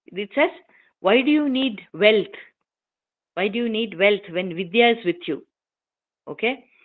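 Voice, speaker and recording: A woman with a Keralan accent speaks at a fairly slow pace and fairly high pitch. Her intonation is lively, with long, frequent pauses. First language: Malayalam. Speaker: invited speaker at a scholarly forum. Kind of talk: formal talk.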